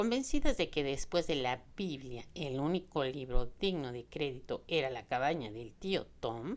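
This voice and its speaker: Very deep, low-pitched woman at a fairly slow pace. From Mexico. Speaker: audiobook narrator. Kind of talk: audiobook novel reading.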